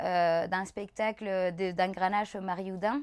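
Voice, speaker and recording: The speaker moves at a fairly slow pace in a monotone, flat intonation, captured in a very clean recording with a silent background. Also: woman. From Chile. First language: Spanish (speaking French). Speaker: dancer and choreographer. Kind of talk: casual interview chat. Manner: halting, many hesitations.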